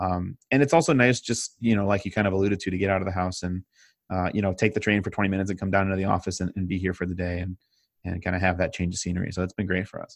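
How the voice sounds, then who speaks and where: A man with an American accent, very deep and low in pitch, talking very fast with fairly even intonation over a quiet background. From US Midwest, Chicago suburbs. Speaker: digital consultancy owner, web developer. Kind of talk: casual interview.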